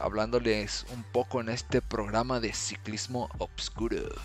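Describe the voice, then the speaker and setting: A man speaks at a fairly slow pace with a Mexican accent. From Mexico, Morelia (Michoacán). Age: 20s. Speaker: podcast host, amateur cyclist. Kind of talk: casual solo podcast monologue.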